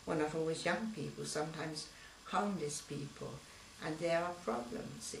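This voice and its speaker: A woman with a London accent speaks over noticeable background noise, with audible room echo. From East London. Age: 70s. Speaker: local resident. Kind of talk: interview.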